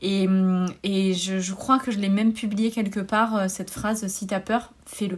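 A woman talks at a fairly slow pace in a monotone, flat intonation. Noticeable background noise is present. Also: medium pitch for a woman. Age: 30s. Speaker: wellness coach and yoga teacher. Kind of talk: interview. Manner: halting.

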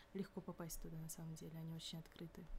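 A woman's voice with a dark, mellow tone. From Kyrgyzstan. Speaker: university student. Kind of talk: casual chat.

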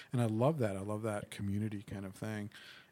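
Soft-spoken male voice, fairly low in pitch, monotone and flat, at a fairly quick pace. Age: 40s. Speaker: gaming convention organizer. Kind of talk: casual chat. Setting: studio.

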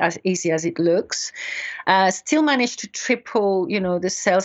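A woman's medium-pitched voice with a French accent at a fairly quick pace. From France. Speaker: beauty industry consultant. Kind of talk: interview.

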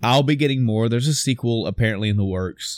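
A plain, everyday voice belongs to a man with a medium pitch and fairly even intonation. The recording is very clean, with a silent background. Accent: American. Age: middle-aged. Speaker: gaming podcast co-host. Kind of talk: casual chat.

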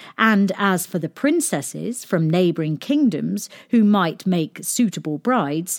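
The intonation here is lively. It comes from a natural reading voice.

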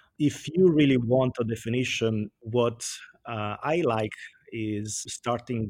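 A man speaks in an Italian accent. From Italy. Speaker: sustainability director. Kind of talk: interview.

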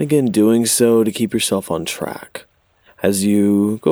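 A man speaks in a fairly low pitch. His tone is soothing and gentle, as well as dark and mellow. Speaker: meditation guide. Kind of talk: guided meditation. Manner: slow, soothing, gentle pacing with long pauses; calm, soft-spoken.

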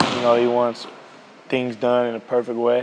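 A man of medium pitch speaks at a moderate pace. Noticeable background noise runs behind him. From United States. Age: 20s. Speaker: basketball player. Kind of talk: interview. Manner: casual, many fillers.

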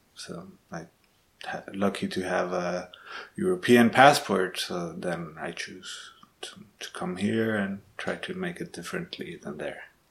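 The speech goes at a fairly slow pace with long, frequent pauses and big swings in loudness, over noticeable background noise. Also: man. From Guatemala. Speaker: audiovisual artist. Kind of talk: interview answers. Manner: halting, many hesitations and repetitions.

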